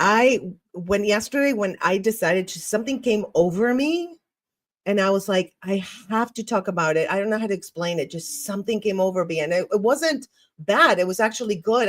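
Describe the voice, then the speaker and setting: With an Argentine accent, a woman speaks at a moderate pace and medium pitch with lively intonation. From Argentina. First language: Spanish. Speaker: podcast host. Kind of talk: solo podcast monologue reading live comments. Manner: animated, sometimes tripping on words.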